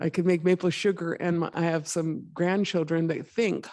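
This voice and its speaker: Over a quiet background, a woman with an American accent speaks at a fairly low pitch in a monotone, flat way. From northern Minnesota. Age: 60s. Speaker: activist. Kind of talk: public talk. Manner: casual, conversational.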